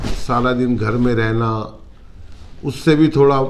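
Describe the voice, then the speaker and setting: A man speaks with audible room echo. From North India, Uttarakhand (Roorkee). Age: 60s. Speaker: retired businessman, client giving testimonial. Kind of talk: testimony interview. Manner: halting.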